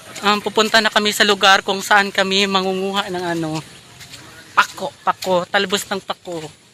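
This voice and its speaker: Over noticeable background noise, a man uses a raised, projected voice with a high pitch, speaking at a moderate pace in a monotone, flat intonation. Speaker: vlogger. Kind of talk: casual vlog chat. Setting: outdoors.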